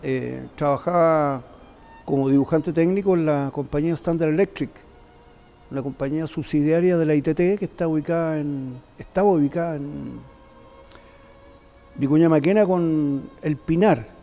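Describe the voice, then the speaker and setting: Music plays in the background as a man speaks at a fairly slow pace with long, frequent pauses. His pitch is fairly high and his intonation fairly even. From Chile, Santiago. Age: 70s. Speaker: community member recounting history. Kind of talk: testimony. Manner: halting.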